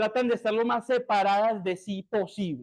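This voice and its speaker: A man's high-pitched voice at a moderate pace, over a quiet background. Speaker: university lecturer. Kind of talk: lecture. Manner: animated.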